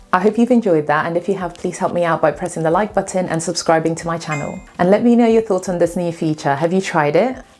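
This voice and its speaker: Music plays in the background as a woman speaks. She goes at a very fast pace with hardly any pauses and a fairly low pitch. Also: ordinary pitch variation. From South Africa. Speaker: UX design YouTuber. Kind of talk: tutorial.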